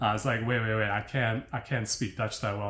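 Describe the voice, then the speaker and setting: A man with an American accent talks at a medium pitch in a monotone, flat delivery. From United States. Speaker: language learning vlogger. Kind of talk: casual monologue. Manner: hesitant, with fillers.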